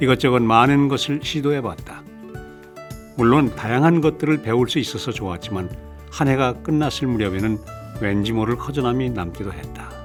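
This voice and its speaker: A man speaks at a medium pitch and a moderate pace. His intonation is lively, with music in the background. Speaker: voice actor. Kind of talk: audiobook reading.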